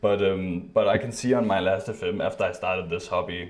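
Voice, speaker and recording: A mumbling man at a moderate pace, with audible room echo. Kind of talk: casual chat.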